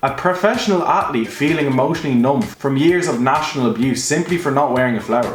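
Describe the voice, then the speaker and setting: Very fast, lively speech from a man with an Irish accent, fairly high-pitched, with audible room echo and music in the background. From Ireland. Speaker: YouTube commentator. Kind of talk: scripted narration.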